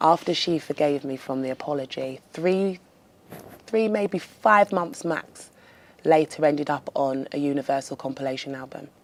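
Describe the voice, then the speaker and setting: This woman has a very deep, low pitch with ordinary variation, and her loudness swings widely. She speaks at a moderate pace. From London, England. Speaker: R&B singer. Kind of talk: interview.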